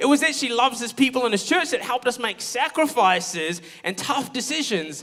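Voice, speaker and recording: Loud and animated, a man with an extremely high pitch talks at a fairly quick pace with very wide pitch swings against noticeable background noise. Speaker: pastor. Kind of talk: sermon.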